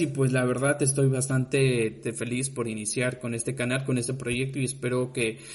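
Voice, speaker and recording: A man's medium-pitched voice with a Yucatecan accent, against noticeable background noise. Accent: Yucatecan Mexican Spanish. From Mexico, Yucatán (Mérida). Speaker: podcast host, university student. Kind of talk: casual podcast monologue. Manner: halting, many fillers.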